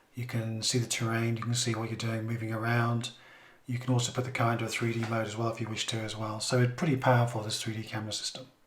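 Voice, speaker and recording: In an English accent, a man at medium pitch talks at a very fast pace in a monotone, flat intonation, with audible room echo and noticeable background noise. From England. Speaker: car reviewer. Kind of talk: product review.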